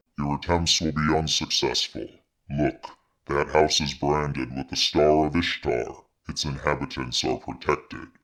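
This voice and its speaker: A man performs a put-on character voice. He pitches it very deep and low and keeps a moderate pace. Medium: virtual streamer. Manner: solemn, formal.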